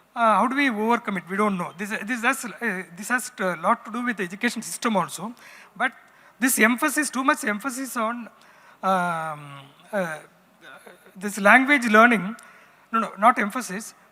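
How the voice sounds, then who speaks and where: With a Tamil accent, this speaker talks at a moderate pace, leaving long, frequent pauses. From Tamil Nadu, India (Kerala family roots). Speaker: writer and former magazine editor, panelist. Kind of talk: panel discussion.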